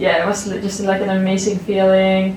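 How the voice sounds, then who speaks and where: Over noticeable background noise and audible room echo, a woman talks with a Swedish accent. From Sweden. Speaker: college athlete, shot putter. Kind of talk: interview answers. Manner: halting, many fillers.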